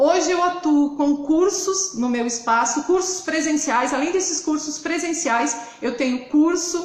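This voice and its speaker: A woman with a southern Brazilian accent talks at a fairly slow pace with ordinary pitch variation. Noticeable background noise and audible room echo accompany her. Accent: gaúcho. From southern Brazil, interior of Rio Grande do Sul. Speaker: hairdresser and hair color educator. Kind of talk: live stream presentation.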